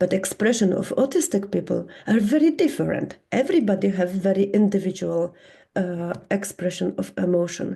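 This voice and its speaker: At a moderate pace, a woman speaks with a Polish accent. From Poland. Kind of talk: conference talk. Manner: halting.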